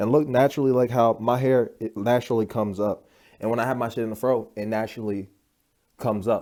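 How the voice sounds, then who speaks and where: A man's very fast speech in a dark, mellow tone on a very clean recording with a silent background. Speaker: spiritual YouTuber. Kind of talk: casual vlog monologue. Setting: at home. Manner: animated.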